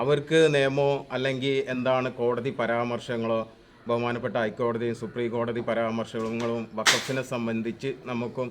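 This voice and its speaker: A man speaks at medium pitch in a flat monotone. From Kerala, Malappuram district. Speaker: local resident, expatriate worker. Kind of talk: interview. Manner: halting.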